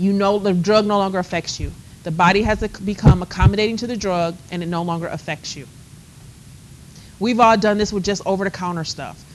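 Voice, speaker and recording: The tone is animated, with a fairly quick pace. Loudness swings widely. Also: woman, medium pitch for a woman. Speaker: college instructor. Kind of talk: lecture. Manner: fast.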